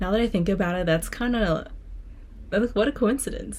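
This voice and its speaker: A woman of medium pitch speaks with vocal fry and an animated tone, her pitch varying in an ordinary way. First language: Spanish. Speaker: student vlogger and singer. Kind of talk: casual vlog reading from journal.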